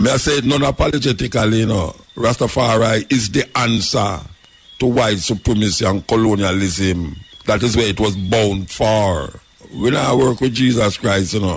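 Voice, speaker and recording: Over noticeable background noise, a man with a Jamaican accent speaks at a fairly low pitch and a moderate pace, with ordinary pitch variation and very even loudness. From Kingston, Jamaica. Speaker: dub poet and talk-show host. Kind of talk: interview answer.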